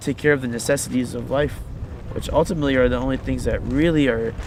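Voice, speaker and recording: The speech has an American accent, ordinary pitch variation and a very fast pace. Noticeable background noise sits behind it. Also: man. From Virginia, US. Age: 20s. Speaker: activist. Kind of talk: interview testimony. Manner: halting, many fillers and repeats.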